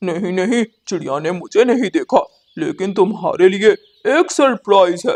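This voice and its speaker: Putting on a cartoonish character voice, a man speaks at a high pitch and a moderate pace. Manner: boastful.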